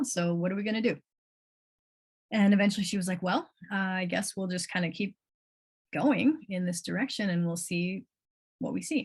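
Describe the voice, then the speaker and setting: A woman with a somewhat breathy, medium-pitched voice speaks at a moderate pace against a quiet background. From US Midwest, North Shore of Chicago. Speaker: coach. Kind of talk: livestream talk with chat. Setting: live video stream. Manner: casual, animated.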